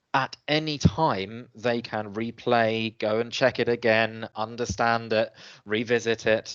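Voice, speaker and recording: The background is quiet. A man speaks at a medium pitch with fairly even intonation. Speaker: webinar presenter, education trainer. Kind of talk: webinar presentation. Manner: hesitant, many fillers.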